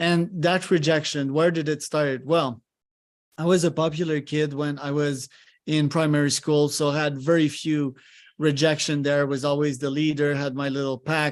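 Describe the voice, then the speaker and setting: Against a quiet background, a man with a French accent talks in a fairly high, monotone, flat voice. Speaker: podcast host. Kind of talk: live coaching session on a podcast.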